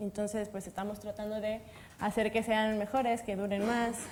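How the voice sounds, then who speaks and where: A woman speaks with a Mexican accent in a monotone, flat intonation. Noticeable background noise sits behind her. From Mexico. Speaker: materials science researcher. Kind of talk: panel discussion.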